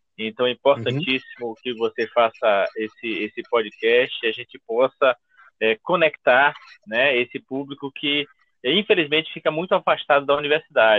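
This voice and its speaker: In a plain, everyday voice, a man talks at a moderate pace, his pitch fairly high with ordinary variation. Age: 50s. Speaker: history professor. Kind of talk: interview.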